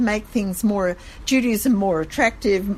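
A somewhat breathy, fairly high-pitched woman with an Australian accent, lively intonation and a fairly slow pace. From Sydney, Australia. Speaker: gift shop owner. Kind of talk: interview.

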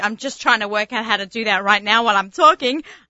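A woman with a strong Sydney accent talks very fast in an animated tone. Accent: strong Sydney Australian. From Australia. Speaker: radio host and kosher personal chef. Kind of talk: casual radio chat and interview. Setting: studio.

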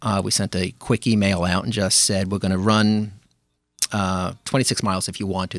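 With a New York accent, a man talks at a fairly quick pace in a fairly low pitch with fairly even intonation, on a very clean recording with a silent background. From Brooklyn, New York (Flatbush). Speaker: amateur runner and running group organizer. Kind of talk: casual interview.

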